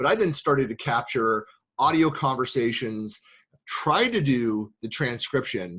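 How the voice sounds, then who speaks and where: With a Bay Area accent, this voice has a bright, sharp tone, lively intonation and very even loudness against a quiet background. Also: man, medium pitch for a man. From US West Coast, San Francisco Bay Area. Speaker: tech consultant and podcast host. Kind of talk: casual interview chat. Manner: fast; halting, many fillers and restarts.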